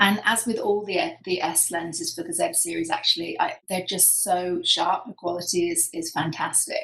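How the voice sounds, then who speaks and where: The speaker has a British accent and a moderate pace. Hardly any pauses break up the speech. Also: woman. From UK. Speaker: professional photographer. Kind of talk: presentation talk. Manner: hesitant with frequent fillers.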